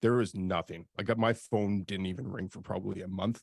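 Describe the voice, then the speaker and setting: An ordinary speaking voice from a man, fairly low in pitch, with a Canadian accent, fairly even intonation and a moderate pace, in a very clean recording with a silent background and a dry, close sound with no echo. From Canada. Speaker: industrial real estate broker and YouTuber. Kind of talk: interview. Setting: live video stream.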